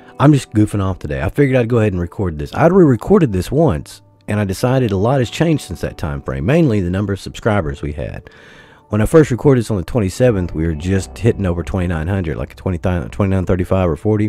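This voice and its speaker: With music in the background, a man's fairly low voice races at a very fast pace through very wide pitch swings. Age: 40s. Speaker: gaming YouTuber. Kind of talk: casual vlog monologue.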